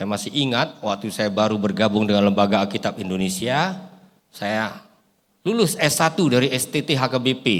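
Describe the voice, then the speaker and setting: Over a very clean recording with a silent background, a man with a medium pitch talks fairly quickly with lively intonation. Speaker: pastor and bible translation consultant. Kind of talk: sermon. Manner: animated.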